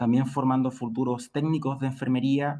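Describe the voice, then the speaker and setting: A man with a Chilean accent speaks at medium pitch. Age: 30s. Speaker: nursing lecturer. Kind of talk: lecture.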